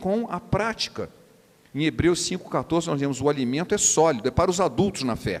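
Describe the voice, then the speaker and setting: With a Rio de Janeiro accent, a man speaks at a moderate pace. His intonation is lively. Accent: carioca accent, noticeable. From Rio de Janeiro, Brazil. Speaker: preacher. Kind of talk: sermon.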